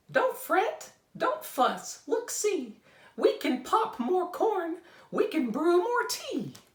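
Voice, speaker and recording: This is a put-on character voice, squeaky and pitched extremely high. It swings very widely in pitch and moves at a very slow pace. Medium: read story.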